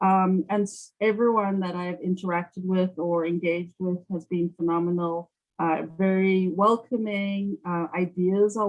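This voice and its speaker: In a South African accent, a woman speaks fairly slowly at medium pitch with monotone, flat intonation. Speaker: sales account executive. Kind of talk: interview. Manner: hesitant with many fillers.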